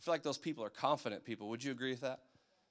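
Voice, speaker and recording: A man talks at a medium pitch. His pitch varies in an ordinary way. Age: 30s. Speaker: youth pastor. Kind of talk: sermon. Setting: church. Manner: casual.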